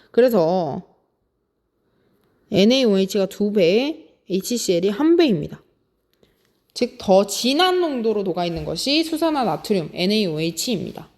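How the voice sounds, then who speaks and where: Against a silent background in a very clean recording, a woman at a medium pitch speaks at a moderate pace with very wide pitch swings and long, frequent pauses. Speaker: high school science teacher. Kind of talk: lecture.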